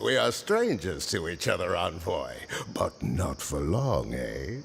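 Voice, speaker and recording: A man uses a gruff, put-on character voice at a fairly slow pace. Clear background noise runs underneath. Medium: video game. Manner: rambling, nostalgic, theatrical.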